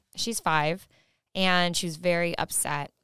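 In a normal speaking voice, a woman talks at a fairly slow pace with a fairly low pitch and ordinary pitch variation, the sound dry and close with no echo. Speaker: podcast host. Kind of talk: casual interview chat.

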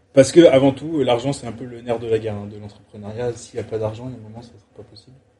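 Speaking at a very fast pace with hardly any pauses, a man sounds somewhat breathy, with a dark, mellow tone and big swings in loudness. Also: medium pitch for a man, fairly even intonation. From France, Avignon. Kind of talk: casual chat. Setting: startup incubator premises, Toulouse.

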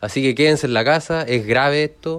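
At a moderate pace over a quiet background, a man speaks with fairly even intonation. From Chile, Curicó. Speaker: surgeon in training. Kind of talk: casual chat. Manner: halting.

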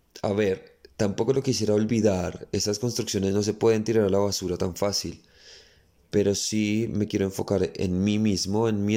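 In a plain, everyday voice, a man speaks at a fairly slow pace with a fairly low pitch and fairly even intonation. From Colombia. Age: 20s. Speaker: dancer and dance school director. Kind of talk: interview conversation.

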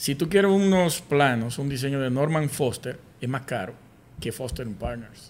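A man's unremarkable speaking voice, fairly high in pitch, with lively intonation at a moderate pace. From Dominican Republic, Sosúa, Puerto Plata. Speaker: podcast host, architect. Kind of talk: casual interview.

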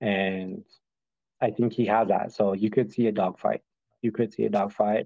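A man's fairly low, dark and mellow voice, monotone and flat, at a moderate pace with very even loudness and long, frequent pauses. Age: 30s. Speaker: professional MMA fighter. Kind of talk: interview. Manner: casual, lots of fillers.

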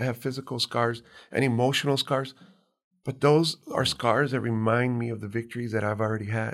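This man has an American accent and a medium pitch. He talks at a fairly quick pace with fairly even intonation. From US-Mexico border, Hidalgo County, Texas. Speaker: fashion designer. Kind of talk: interview.

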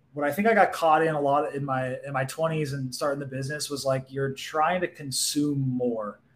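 Through noticeable background noise, a man with an American accent and a fairly high pitch talks at a moderate pace with ordinary pitch variation and hardly any pauses. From Southern California, Orange County. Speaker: physical therapist turned marketer. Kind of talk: casual interview.

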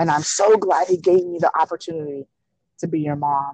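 A woman speaks in a fairly low pitch with a dark, mellow tone and fairly even intonation. The sound is dry and close, with no echo. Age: 30s. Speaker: speaker and advocate for abused women. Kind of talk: interview about personal life.

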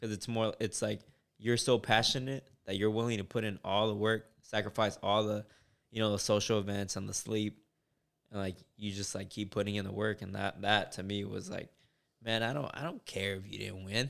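In an ordinary speaking voice, a man with an American accent talks at a moderate pace, his pitch fairly low and his intonation fairly even, on a very clean recording with a silent background. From California. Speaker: army veteran and student. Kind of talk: casual chat.

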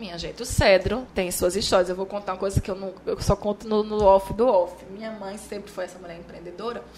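Over noticeable background noise, the speaker goes at a fairly quick pace with hardly any pauses, fairly even intonation and big swings in loudness. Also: woman, medium pitch for a woman. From Bahia, Brazil (Chapada Diamantina), raised in Maceió. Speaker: journalist and TV presenter. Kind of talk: casual interview chat.

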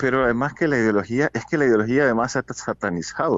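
The pace of this man's speech is fairly quick. He keeps a medium pitch. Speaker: journalist. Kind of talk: interview. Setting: phone call.

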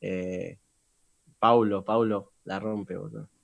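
In a Rioplatense accent, a man speaks at a fairly low pitch. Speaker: trap singer. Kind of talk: interview.

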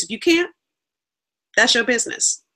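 A woman with an American accent speaks at a very fast pace in a raised, projected voice. Her tone is bright and sharp, her intonation lively, and the recording very clean with a silent background. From California. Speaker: business coach. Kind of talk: interview.

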